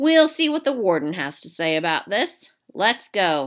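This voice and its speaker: A woman's put-on character voice at a medium pitch, with very wide pitch swings. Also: moderate pace. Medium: read story. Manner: sarcastic, mocking.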